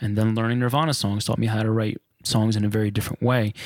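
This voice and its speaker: A man's medium-pitched, animated voice with an American accent at a very fast pace. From New Jersey, US. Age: 30s. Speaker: guitarist. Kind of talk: casual interview. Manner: animated, profane.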